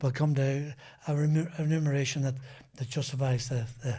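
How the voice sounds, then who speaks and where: A man's dark, mellow, somewhat breathy voice, fairly high in pitch, at a fairly quick pace with fairly even intonation. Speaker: former racing driver. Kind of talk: podcast interview anecdote. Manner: halting, many repetitions and restarts.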